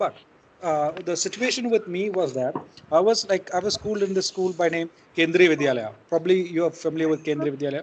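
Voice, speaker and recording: With noticeable background noise, a man talks at a very fast pace in a high pitch, showing ordinary pitch variation. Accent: Keralan. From India, Kerala. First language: Malayalam. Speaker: poet. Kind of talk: online class discussion. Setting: video call. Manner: halting, many repetitions.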